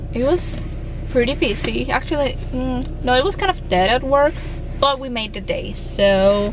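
With a high pitch, a woman speaks at a fairly slow pace in a dry sound with no echo, noticeable background noise behind her. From Dominican Republic. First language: Spanish. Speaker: vlogger. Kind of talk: casual vlog talk to camera. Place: car. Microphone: phone near.

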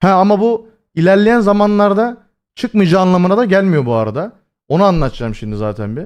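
This man's voice sits high for a man. His pitch swings very widely. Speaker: streamer. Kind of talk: casual live stream chat.

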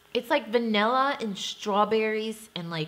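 The pace is moderate. The speaker is a woman. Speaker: beauty vlogger. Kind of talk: casual product review chat. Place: home room.

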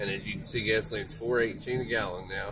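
A man speaks at a moderate pace. Background noise is noticeable throughout. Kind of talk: commentary. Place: car. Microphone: phone near.

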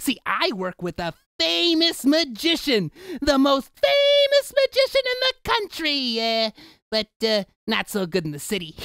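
A put-on character voice is delivered at a moderate pace. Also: man, extremely high pitch for a man.

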